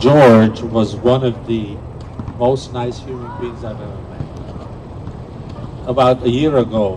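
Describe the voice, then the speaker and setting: Amid noticeable background noise and audible room echo, a man at a medium pitch talks at a very slow pace with monotone, flat intonation and big swings in loudness. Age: 70s. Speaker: table tennis player and memorial speaker. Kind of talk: memorial tribute speech. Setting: outdoor memorial event, live streamed.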